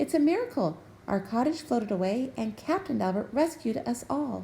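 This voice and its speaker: A woman puts on a character voice with a high pitch at a moderate pace, with clear background noise behind her. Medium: read story.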